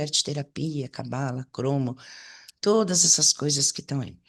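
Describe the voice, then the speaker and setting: Her delivery is fairly slow, and this woman's intonation is lively. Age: 60s. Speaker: holistic therapy teacher. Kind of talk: online lecture. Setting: online presentation with chat. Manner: hesitant, with repetitions.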